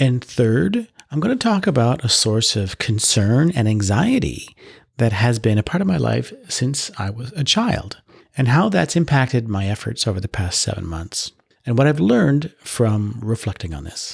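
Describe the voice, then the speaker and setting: A somewhat breathy man's voice at medium pitch, with very wide pitch swings and a Canadian accent. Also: moderate pace. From Canada, Ottawa. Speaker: podcast host. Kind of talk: solo podcast monologue. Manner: mild disfluency, not severe.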